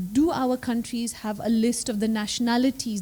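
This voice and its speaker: Soft-spoken and fairly high-pitched, a woman with a dark, mellow tone talks at a moderate pace. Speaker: law professor. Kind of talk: panel discussion.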